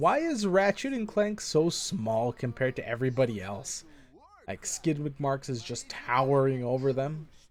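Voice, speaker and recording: A man speaks at a moderate pace in a fairly high pitch with very wide pitch swings, over noticeable background noise. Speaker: vtuber game streamer. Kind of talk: live gameplay stream commentary. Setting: live stream. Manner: loud; halting, repeats words.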